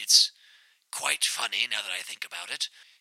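A man talks in a pompous tone. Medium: audio drama. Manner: formal, pompous, rambling.

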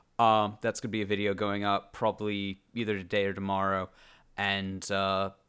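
A man talks at a moderate pace in a fairly low pitch. His tone is bright and sharp, and the recording is very clean with a silent background. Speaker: gaming YouTuber. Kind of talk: casual chat. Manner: animated.

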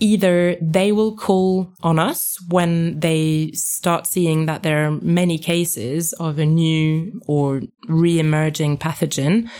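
This woman's voice is very deep and low, with fairly even intonation. She speaks in a French accent. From France. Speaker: epidemiologist. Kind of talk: interview.

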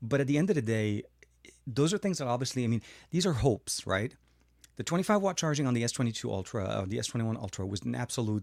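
A man's medium-pitched voice at a fairly quick pace, lively in intonation, in a very clean recording with a silent background and a dry, close sound with no echo. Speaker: tech YouTuber. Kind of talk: livestream tech chat. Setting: home studio livestream. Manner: fast talker.

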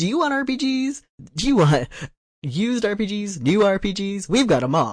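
A put-on character voice sits at a fairly high pitch, with very wide pitch swings. The pace is moderate. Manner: pushy, salesy, enthusiastic.

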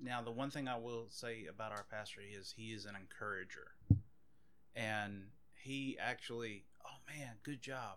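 Speaking in a Louisiana accent, a man has a medium pitch and a bright, sharp tone. He goes at a fairly slow pace with fairly even intonation, and the room echo is audible. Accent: Louisiana Southern US. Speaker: police officer. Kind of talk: casual chat.

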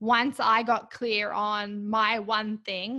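A woman with an Australian accent, fairly high-pitched and bright, sharp in tone, against a quiet background. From Australia (Canberra). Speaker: women's fitness coach. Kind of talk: casual chat.

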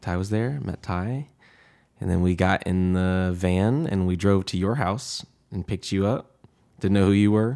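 Speaking at a moderate pace with an American accent, a man uses a very deep, low voice with ordinary pitch variation. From US South, Atlanta, Georgia. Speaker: campus ministry assistant director and musician. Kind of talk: interview, reflective personal story. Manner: conversational, with many fillers.

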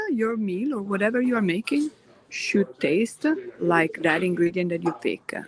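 A woman with an Italian accent talks at a moderate pace in a medium pitch, her intonation lively. Noticeable background noise runs beneath her voice. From Italy (Orvieto, Umbria). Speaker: gelato chef. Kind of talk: casual interview.

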